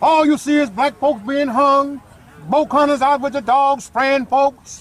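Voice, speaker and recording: Recorded dry with no echo, a man speaks at an extremely high pitch for a man and a fairly slow pace. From US South. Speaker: heritage activist speaker; speaker. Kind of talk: speech to children at outdoor event. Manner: animated. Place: open country. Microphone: phone near.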